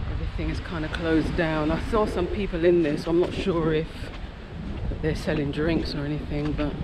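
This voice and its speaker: There is noticeable background noise. The talking goes at a fairly quick pace. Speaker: travel vlogger. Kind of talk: casual vlog chat. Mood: relaxed, curious. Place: beach. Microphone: phone near.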